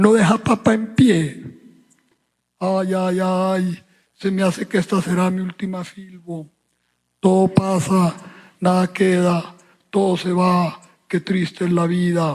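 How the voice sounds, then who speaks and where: A man with a high-pitched voice speaks very slowly in a monotone, flat intonation, leaving long, frequent pauses. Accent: Medellín. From Colombia. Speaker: writer. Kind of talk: satirical monologue at book fair.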